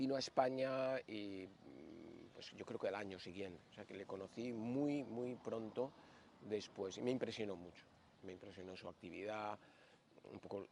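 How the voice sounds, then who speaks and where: Loudness swings widely as a man speaks at a fairly slow pace in a fairly low voice with ordinary pitch variation. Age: 60s. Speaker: yoga teacher. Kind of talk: interview storytelling. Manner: hesitant, with fillers.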